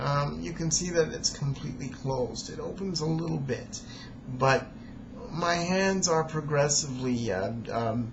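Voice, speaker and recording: Noticeable background noise sits under this fairly slow-paced voice. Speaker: amateur storyteller reading own recording. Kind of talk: video introduction monologue. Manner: halting, repeats words; hesitant with many fillers.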